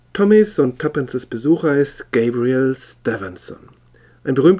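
A reading aloud in a natural voice, with lively intonation

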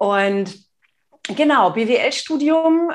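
A woman's voice with lively intonation. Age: 40s. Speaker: nonverbal communication expert and entrepreneur. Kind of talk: casual interview.

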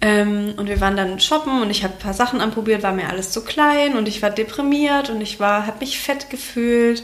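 There is noticeable background noise and audible room echo. A woman talks at a fairly high pitch with hardly any pauses. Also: ordinary pitch variation, moderate pace. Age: 30s. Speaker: communication designer and Instagram creator. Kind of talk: casual chat.

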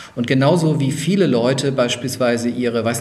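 A man at a moderate pace and medium pitch, ordinary pitch variation, with audible room echo and noticeable background noise. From Lower Franconia, Germany. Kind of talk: interview.

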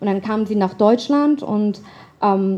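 A woman talks fairly slowly, her fairly high voice carrying a dark, mellow tone. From Germany. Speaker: writer. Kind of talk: storytelling performance.

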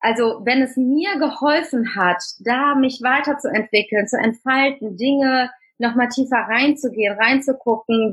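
Speaking at a fairly slow pace, a woman has a high pitch with ordinary pitch variation. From Germany, Tamil family from Sri Lanka. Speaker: speaker and trainer on cultural identity. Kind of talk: interview.

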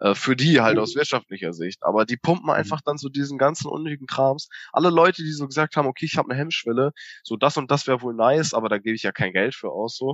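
A man with a fairly high voice, lively intonation and a very fast pace. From northern Germany, Bersenbrück area. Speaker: podcast co-host. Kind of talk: casual chat. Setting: remote call from parents' house.

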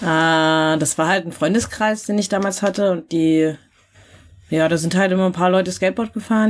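On a very clean recording with a silent background, a woman in a normal speaking voice talks at a fairly quick pace and medium pitch with fairly even intonation. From rural Germany. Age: 20s. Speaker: skateboarder. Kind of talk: casual interview.

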